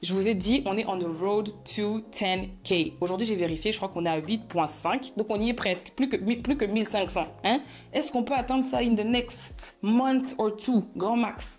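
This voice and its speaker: A woman's fairly high, animated voice with lively intonation and hardly any pauses. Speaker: YouTuber storyteller. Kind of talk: casual vlog storytime. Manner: fast.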